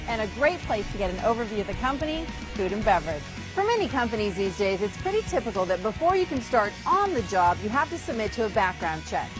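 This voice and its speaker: Over background music, the speaker talks at a fairly quick pace in an upbeat tone with very wide pitch swings. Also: woman. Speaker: TV host. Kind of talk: TV show hosting to camera.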